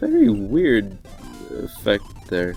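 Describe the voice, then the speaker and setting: A man with a fairly low voice talks while music plays behind him. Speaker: video game streamer. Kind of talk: casual gameplay commentary.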